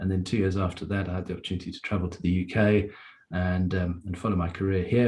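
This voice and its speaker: In a very deep, low, somewhat breathy voice with a dark, mellow tone, a man talks at a fairly quick pace with flat, monotone intonation. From South Africa, near Durban. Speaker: Rotary club member and district webmaster. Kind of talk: meeting talk, personal story.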